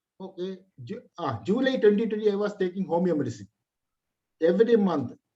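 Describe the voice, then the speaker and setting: This voice has a dark, mellow tone. The pace is fairly quick and the intonation lively. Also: man, high pitch for a man. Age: 60s. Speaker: ethnobotanist. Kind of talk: webinar Q&A answer. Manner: halting.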